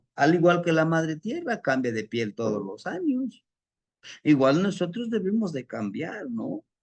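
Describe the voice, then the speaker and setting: In a central Mexican accent, a man speaks at a fairly high pitch with very wide pitch swings against a quiet background. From Mexico City. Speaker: spiritual teacher. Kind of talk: lecture.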